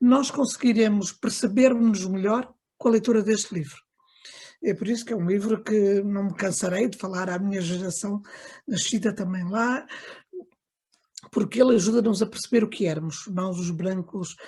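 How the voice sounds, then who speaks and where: At a moderate pace and with long, frequent pauses, a woman talks in a somewhat breathy, dark, mellow tone at medium pitch with ordinary pitch variation. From Angola (Lubango), moved to Portugal at 15. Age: 60s. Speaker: book launch speaker, daughter of an author. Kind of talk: book launch remarks. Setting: video call. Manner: halting, many fillers.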